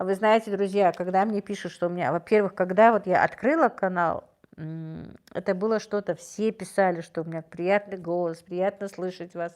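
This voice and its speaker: Recorded very cleanly with a silent background, a woman speaks at a moderate pace in a medium pitch with fairly even intonation. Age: 50s. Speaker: livestream host. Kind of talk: livestream chat reading viewer comments. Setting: live stream. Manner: warm, gentle.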